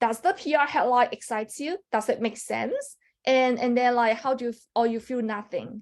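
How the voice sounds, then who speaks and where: This woman's high voice shows ordinary pitch variation and keeps a moderate pace. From China, Guangzhou (Canton). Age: 30s. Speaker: tech product partnerships lead. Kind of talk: presentation. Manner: halting, many fillers.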